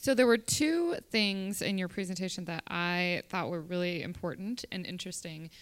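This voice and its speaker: Speaking in an ordinary speaking voice, a woman talks at a medium pitch and moderate pace with hardly any pauses. Pitch variation is ordinary, and the recording is very clean with a silent background. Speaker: podcast host. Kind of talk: live podcast interview. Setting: live conference recording.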